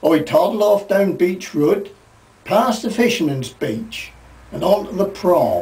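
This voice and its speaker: Very slow speech in a Norfolk accent, with ordinary pitch variation over noticeable background noise. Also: man, high pitch for a man. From Norfolk, England. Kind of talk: storytelling to camera.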